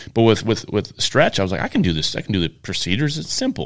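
A man with a Michigan accent talks very fast at a fairly low pitch, recorded very cleanly against a silent background. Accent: Inland North American (Michigan). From US Midwest. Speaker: chiropractor. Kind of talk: casual chat. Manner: halting.

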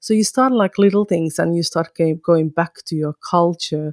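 With a Finnish accent, a woman speaks at a fairly slow pace in a very deep, low pitch. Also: dry, close sound with no echo. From northern Finland, Kajaani. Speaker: podcaster and mother. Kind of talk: interview conversation.

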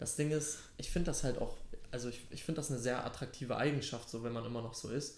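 A man's somewhat breathy, medium-pitched voice, very fast and fairly even in intonation, with audible room echo. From Hamburg, Germany. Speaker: podcast host. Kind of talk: casual chat; podcast intro.

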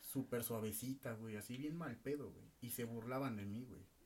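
The man's pitch is medium, his delivery moderately paced. His intonation stays fairly even, with noticeable noise in the background. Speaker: podcast co-host. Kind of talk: casual chat.

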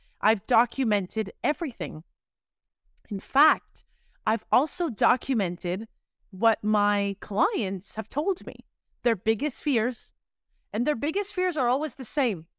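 In a very clean recording with a silent background and a dry, close sound with no echo, a woman speaks at a fairly slow pace and fairly high pitch, with lively intonation and long, frequent pauses. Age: 30s. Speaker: podcast host and content creator. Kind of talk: solo monologue. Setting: living room. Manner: animated.

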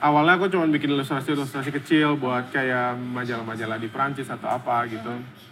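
A man speaks at medium pitch and a very fast pace, with hardly any pauses and fairly even intonation. Noticeable background noise sits behind him. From Indonesia. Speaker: comic book artist. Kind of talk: casual interview. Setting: cafe.

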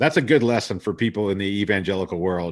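With a US Midwestern accent, a man talks at a fairly quick pace against a quiet background. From Columbus, Ohio. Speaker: singer-songwriter and finance podcaster. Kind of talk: casual interview chat.

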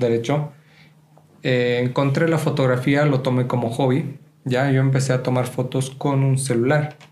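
This man has an ordinary speaking voice. His pitch is medium and his pace moderate. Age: 20s. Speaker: photographer and podcast co-host. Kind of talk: casual chat.

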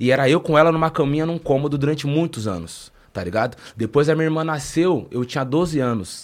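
In a very clean recording with a silent background, a man with an unremarkable speaking voice talks at a fairly quick pace and a fairly high pitch with ordinary pitch variation. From interior of São Paulo state (Taubaté). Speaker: rapper. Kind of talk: casual interview.

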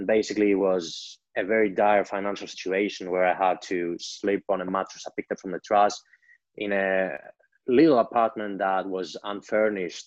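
A man with a Greek accent speaks at a moderate pace in a fairly low pitch. His intonation stays fairly even against a quiet background. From Greece. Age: 20s. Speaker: entrepreneur. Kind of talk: interview storytelling.

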